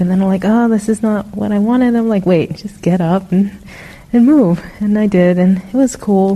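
Moderately paced speech from a woman, mid-range in pitch and with fairly flat intonation. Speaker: meditation participant. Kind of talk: group sharing. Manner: halting.

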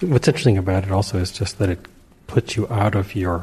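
The voice is dark, mellow and somewhat breathy, with fairly even intonation and a fairly quick pace. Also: man. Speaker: class participant. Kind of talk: casual sharing.

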